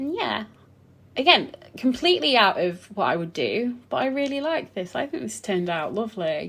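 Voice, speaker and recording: Very wide pitch swings in a woman's fairly high voice. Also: moderate pace. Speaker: gaming content creator. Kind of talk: casual game build commentary. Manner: rambling, hesitant with fillers.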